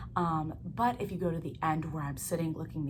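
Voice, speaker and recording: A woman with vocal fry talks at a fairly quick pace in a very deep, low pitch, with audible room echo. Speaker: book vlogger. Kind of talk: casual vlog talk. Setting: home, filming at night while roommates sleep. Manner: quiet.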